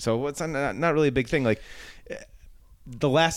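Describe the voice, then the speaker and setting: In a Buffalo accent, a man speaks with ordinary pitch variation. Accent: Western New York (Buffalo) American. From Buffalo, New York. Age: 40s. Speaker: comedian. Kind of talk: casual chat.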